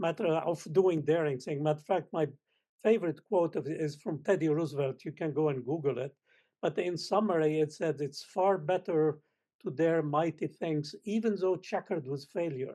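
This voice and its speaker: Here a man with a Lebanese accent speaks at a moderate pace. His pitch is fairly high, with ordinary pitch variation and a dark, mellow tone. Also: quiet background. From Lebanon. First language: Arabic. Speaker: space scientist. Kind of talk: panel discussion. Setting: panel event with audience.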